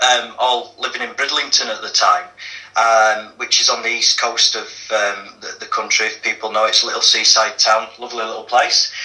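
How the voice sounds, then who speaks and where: A man with a Yorkshire accent at a moderate pace, with noticeable background noise. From northern England, Leeds. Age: 40s. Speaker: activist guest. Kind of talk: interview testimony. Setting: radio show. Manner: hesitant, many fillers.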